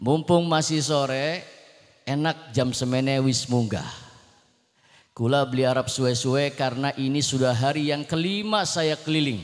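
Here is an unremarkable speaking voice: a man at a fairly high pitch and moderate pace. His loudness stays very even, with ordinary pitch variation and a quiet background. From Jakarta, Indonesia (born in Cirebon); Jakarta, Indonesia. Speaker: Islamic preacher. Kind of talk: sermon. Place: stage. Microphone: handheld.

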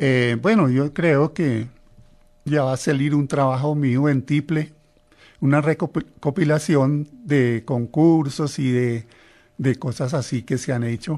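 A man's fairly high voice at a very slow pace, with ordinary pitch variation and a quiet background. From Colombia, Norte de Santander. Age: 70s. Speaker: tiple musician. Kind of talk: interview. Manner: halting.

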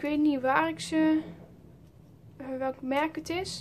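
The voice belongs to a woman with a high pitch. Light background noise is present. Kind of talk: casual show-and-tell vlog.

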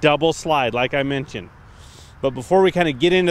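A man's voice with ordinary pitch variation and a dry sound with no echo. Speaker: trailer salesperson. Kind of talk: product walkaround presentation. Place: open country.

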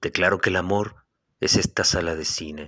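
A man talks at a fairly slow pace in a bright, sharp tone with fairly even intonation, on a very clean recording with a silent background. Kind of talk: poetry reading. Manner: measured, contemplative, lyrical delivery; wistful, tender, melancholic tone.

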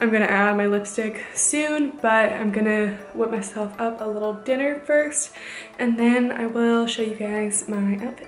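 Light background noise and audible room echo are present. A woman speaks at a moderate pace with fairly even intonation. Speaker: student vlogger on a dance team. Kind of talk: casual vlog chat. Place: home room. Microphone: phone near.

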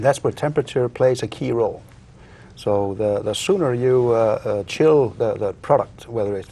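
Fairly quick delivery from a man, with ordinary variation in pitch. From Iceland. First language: Icelandic. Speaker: inventor; guest. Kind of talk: interview. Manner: halting. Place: studio. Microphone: lapel.

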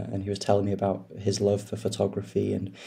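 A man speaks in a somewhat breathy voice with a fairly low pitch. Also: quiet background. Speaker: podcast guest. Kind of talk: interview answer. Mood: reflective, calm. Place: home room. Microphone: video call.

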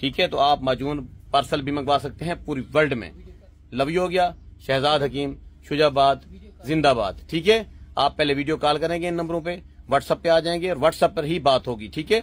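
A man with a normal speaking voice talks at a moderate pace. His pitch is fairly high. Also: ordinary pitch variation. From Pakistan, Punjab (Multan); Punjab, Pakistan. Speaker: herbal medicine seller. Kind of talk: sales pitch. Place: shop. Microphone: phone near.

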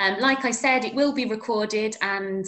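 A woman at a moderate pace with ordinary pitch variation over a quiet background. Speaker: webinar host. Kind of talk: webinar introduction. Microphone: webcam.

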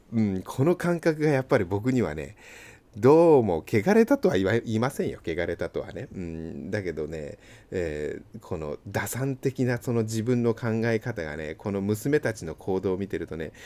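A man speaks at a moderate pace with fairly low pitch and a dark, mellow tone. His pitch swings very widely. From Japan, Yokohama; Japan. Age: 40s. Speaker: seal engraver and channel host; channel host. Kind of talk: casual monologue while working. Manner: casual, chatty. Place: shop. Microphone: phone near.

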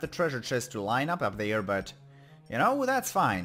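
A man with a German accent speaks at a moderate pace, his pitch swinging very widely, with music playing in the background. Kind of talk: video game let's play commentary.

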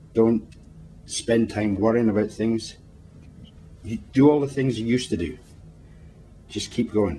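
A man with a Scottish accent speaks at medium pitch in a warm, dark, mellow tone, with ordinary pitch variation. His pace is fairly slow, with long, frequent pauses. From Scotland. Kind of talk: comforting words spoken to camera. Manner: warm, reassuring.

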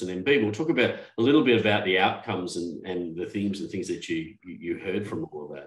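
A man at a fairly quick pace, with audible room echo and a quiet background. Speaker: podcast host. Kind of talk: casual chat. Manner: halting. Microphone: video call.

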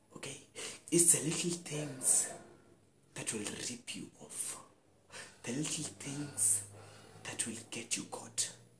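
A man speaks very slowly with long, frequent pauses. His pitch varies in an ordinary way, and background noise is noticeable. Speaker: actor performing a scene. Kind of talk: dramatic monologue performance. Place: home room. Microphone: lapel.

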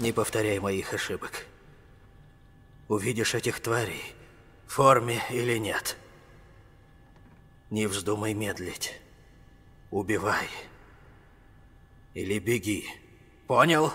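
Putting on a raspy character voice at medium pitch, a man speaks at a fairly slow pace with fairly even intonation and long, frequent pauses. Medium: fan dub. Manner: grave, commanding, fatherly.

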